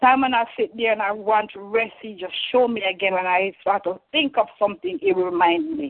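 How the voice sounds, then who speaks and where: A woman speaks in an unremarkable speaking voice with a fairly high pitch. She keeps a moderate pace with lively intonation and hardly any pauses. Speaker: caller sharing testimony. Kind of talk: testimony. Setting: phone call.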